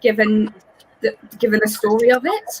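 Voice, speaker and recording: A woman is speaking. She has an English accent. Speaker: scrunchie maker, theatre fan. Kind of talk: casual video chat. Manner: fast.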